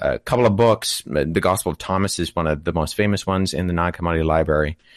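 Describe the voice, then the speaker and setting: In a Canadian accent, a man with a very deep, low pitch speaks against a quiet background, the sound dry and close with no echo. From Canada. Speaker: biblical studies student and apologetics speaker. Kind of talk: casual interview on a live stream.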